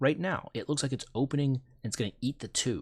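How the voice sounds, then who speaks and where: A man talks at a very fast pace with a medium pitch and vocal fry. The sound is dry and close with no echo, in a very clean recording with a silent background. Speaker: math teacher. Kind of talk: tutorial.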